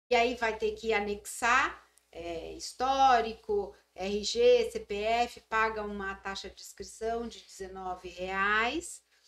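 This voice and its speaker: At a very slow pace, a woman speaks with a fairly high pitch, ordinary pitch variation and big swings in loudness. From Mongaguá, São Paulo coast, Brazil. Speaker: nurse and school coordinator. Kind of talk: interview conversation.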